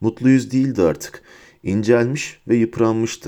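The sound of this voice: The speaker uses an unforced reading voice. The delivery stays that way throughout.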